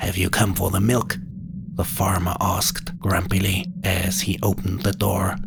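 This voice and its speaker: Somewhat unhurried delivery, normal rises and falls in pitch, and clearly audible noise in the background. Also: man. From South Germany (Bavaria). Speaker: storyteller. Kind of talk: reading aloud.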